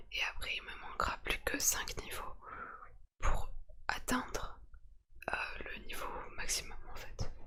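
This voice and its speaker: Someone whispers in a strained way at a very slow pace. Long pauses come frequently. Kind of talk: casual talk to camera. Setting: ASMR-style home recording. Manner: quiet, restrained, trying to stay silent.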